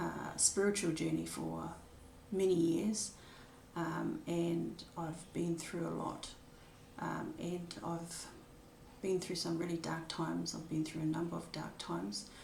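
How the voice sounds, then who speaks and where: A fairly slow New Zealand accent, with audible room echo. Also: woman. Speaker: spiritual vlogger sharing her life story. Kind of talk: personal testimony. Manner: hesitant, many filler words.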